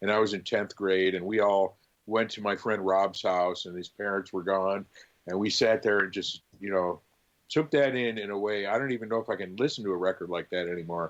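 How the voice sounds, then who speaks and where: In a normal speaking voice, a man talks at a fairly quick pace with fairly low pitch and fairly even intonation against a quiet background. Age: 60s. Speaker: record store co-founder and owner; drummer. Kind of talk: casual interview chat.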